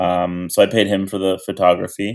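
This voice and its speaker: A man with a Canadian accent speaks in a plain, everyday voice, fairly low in pitch and at a moderate pace, in a very clean recording with a silent background. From Canada, Toronto. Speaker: cannabis bonsai grower and youth sports coach. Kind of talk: casual chat.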